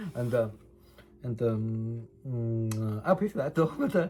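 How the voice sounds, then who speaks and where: A man at a fairly slow pace, his pitch making very wide swings, with music in the background. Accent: Chinese. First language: Chinese. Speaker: vlogger documenting personal case. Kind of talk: personal testimony monologue. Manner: halting, many fillers and repetitions.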